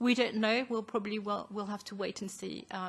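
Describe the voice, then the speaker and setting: A woman speaks at a fairly high pitch with a somewhat breathy voice. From France. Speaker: advocacy group co-founder. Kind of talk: formal presentation. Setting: parliamentary committee hearing. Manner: formal.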